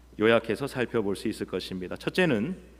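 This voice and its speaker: The speaker is a man with a strong Busan accent. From Busan, South Korea. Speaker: pastor. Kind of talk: sermon. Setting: church.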